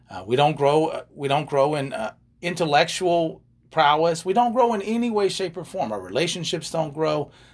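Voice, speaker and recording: A man with a normal speaking voice talks at a moderate pace, his fairly high pitch carried by lively intonation. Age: 50s. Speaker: life and relationship coach, podcast co-host. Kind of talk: casual chat.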